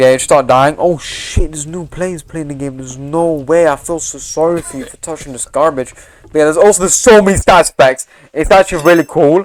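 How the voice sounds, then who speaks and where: Ordinary pitch variation marks a man who talks at a fairly quick pace. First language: not English. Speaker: gaming YouTuber. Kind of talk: gameplay commentary. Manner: casual, halting with fillers.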